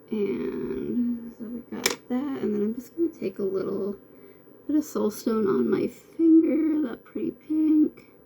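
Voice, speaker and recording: A woman mumbles at a fairly slow pace with lively intonation. Noticeable background noise sits behind her. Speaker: makeup beauty vlogger. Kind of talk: makeup tutorial. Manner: casual, many fillers; mumbling.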